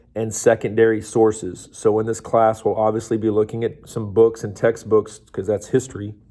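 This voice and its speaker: This man has a medium-pitched voice with a dark, mellow tone, captured in a very clean recording over a silent background. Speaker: high school history teacher. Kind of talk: recorded lecture. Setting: recorded video lesson. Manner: casual, many fillers.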